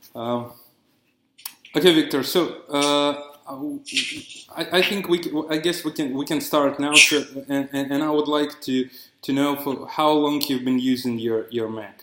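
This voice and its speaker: A man's fairly high voice at a fairly slow pace, with fairly even intonation and long, frequent pauses. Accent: non-native. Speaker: user researcher, interviewer. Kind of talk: user research interview. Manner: halting, repetitive.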